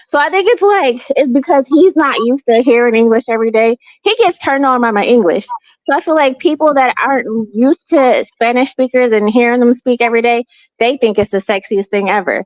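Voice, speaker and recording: Delivered at a fairly quick pace with an American accent, the speech has lively intonation, very even loudness, and a dry, close sound with no echo. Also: woman. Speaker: panelist on expat podcast. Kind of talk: casual chat. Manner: fast.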